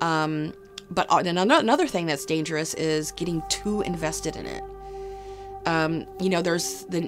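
Clear background music under a woman's moderately paced voice. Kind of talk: interview answer. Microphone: lapel.

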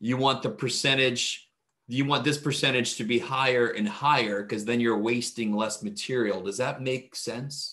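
A man's voice, bright and sharp in tone, moves at a moderate pace. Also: ordinary pitch variation, quiet background. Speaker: math instructor. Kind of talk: lecture. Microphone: webcam.

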